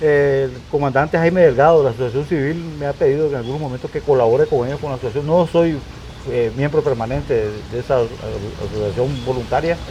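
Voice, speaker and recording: His delivery is very fast and his pitch fairly high for a man. The man's pitch varies in an ordinary way, and there is noticeable background noise. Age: 60s. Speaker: retired firefighter commander, fire protection specialist. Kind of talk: interview. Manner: halting, many repetitions.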